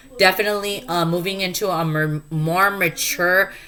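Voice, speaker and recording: Over noticeable background noise, a woman talks at a fairly low pitch with fairly even intonation. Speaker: tarot reader. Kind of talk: tarot reading. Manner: hesitant, many fillers.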